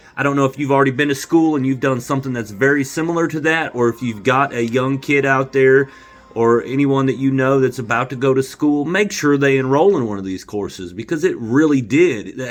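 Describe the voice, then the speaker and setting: Over noticeable background noise, a man with an American accent talks at a fairly quick pace in an animated tone, with ordinary pitch variation and hardly any pauses. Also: medium pitch for a man. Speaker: vlogger. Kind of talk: casual monologue to camera. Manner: loud.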